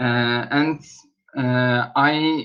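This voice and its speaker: A man speaks with a Turkish accent and fairly even intonation. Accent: Turkish accent, self-noted. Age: 20s. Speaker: student. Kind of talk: language class self-introduction. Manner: halting.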